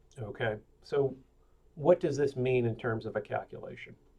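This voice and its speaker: A somewhat breathy, medium-pitched male voice at a moderate pace with fairly even intonation. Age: 60s. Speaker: webinar presenter, amateur endurance athlete. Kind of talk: webinar presentation. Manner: casual, many filler words.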